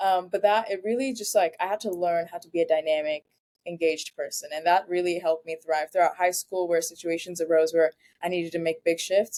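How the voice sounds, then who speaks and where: A woman speaks at a fairly quick pace with a fairly low pitch and a dark, mellow tone. Her intonation is fairly even, and the sound is dry and close with no echo. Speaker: university student, leadership program alumna. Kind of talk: interview.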